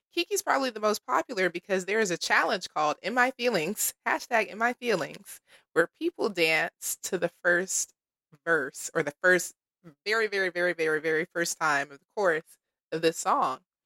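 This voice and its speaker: At a moderate pace, a woman with a medium-pitched voice and a bright, sharp tone speaks with lively intonation and big swings in loudness, in a dry, close sound with no echo. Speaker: podcast host. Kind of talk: casual chat. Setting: on location at an event in London.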